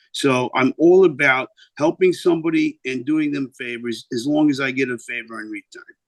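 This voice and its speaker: A man with a New York accent speaks at a moderate pace in a fairly high voice, his pitch varying in an ordinary way over a dry, close sound with no echo. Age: 50s. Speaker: singer and record label owner. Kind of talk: interview. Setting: video call.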